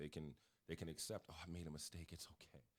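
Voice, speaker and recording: Very deep and low in pitch, a man with an American accent races along at a very fast pace, showing vocal fry and ordinary pitch variation. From Connecticut, US. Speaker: basketball coach. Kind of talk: podcast interview. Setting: studio.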